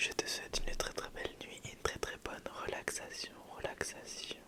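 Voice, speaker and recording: A woman whispers. Noticeable background noise runs underneath. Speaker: ASMR content creator. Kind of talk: whispered ASMR bedtime story. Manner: whispered, soft, slow.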